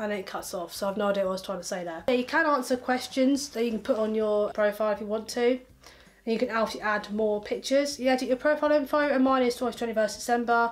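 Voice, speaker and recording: A woman talks at a very fast pace in a fairly high pitch. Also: ordinary pitch variation. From England. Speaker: YouTuber. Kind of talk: casual vlog. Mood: amused, joking. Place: home room.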